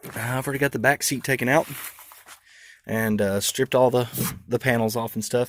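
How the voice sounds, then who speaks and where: Delivered in an American accent, the speech is at a fairly quick pace with long, frequent pauses and fairly even intonation. The sound is dry and close, with no echo. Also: man, medium pitch for a man. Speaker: car audio hobbyist. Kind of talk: casual walkaround vlog. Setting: shop / garage, truck walkaround. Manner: fast; hesitant, many fillers.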